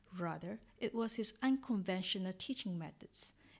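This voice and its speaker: A somewhat breathy voice at a fairly slow pace. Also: woman. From Singapore. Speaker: podcaster and English teacher. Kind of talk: scripted narration. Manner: measured.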